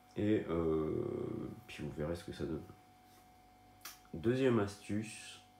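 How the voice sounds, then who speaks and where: Audible room echo surrounds a man with a fairly low pitch and lively intonation. He talks at a very slow pace, with long, frequent pauses. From northern France. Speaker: online marketing content creator. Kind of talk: casual video tutorial. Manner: hesitant, many fillers.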